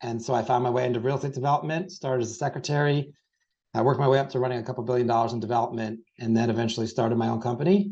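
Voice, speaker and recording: Putting on a raspy character voice, this man races along at a very fast pace, his medium pitch showing ordinary variation. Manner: fast-paced speech.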